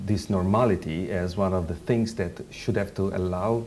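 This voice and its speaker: A man with an Italian accent, fairly low in pitch, at a moderate pace over noticeable background noise. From Italy. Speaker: design researcher. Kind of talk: panel discussion. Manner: halting.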